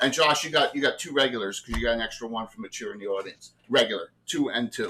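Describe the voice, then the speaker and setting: Very fast speech in a South Jersey accent. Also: man. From South Jersey, US. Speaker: game master. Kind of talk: tabletop game narration. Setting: livestream.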